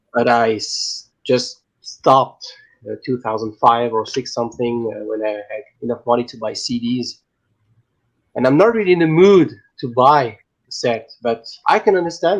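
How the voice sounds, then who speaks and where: This man speaks in a French accent at a moderate pace. His intonation is lively. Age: 30s. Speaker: vinyl collector. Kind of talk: casual chat.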